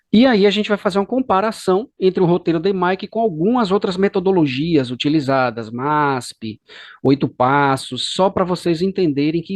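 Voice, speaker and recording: Against a quiet background, a man with a high pitch and lively intonation talks at a fairly quick pace in a dry, close sound with no echo. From Brazil, Bahia (Salvador). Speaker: course instructor. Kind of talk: lecture.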